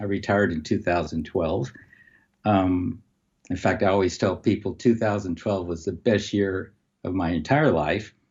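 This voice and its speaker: A man with a very deep, low pitch talks at a moderate pace, somewhat breathy, with ordinary pitch variation. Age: 70s. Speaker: umpire and retired high school educator. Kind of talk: casual interview chat.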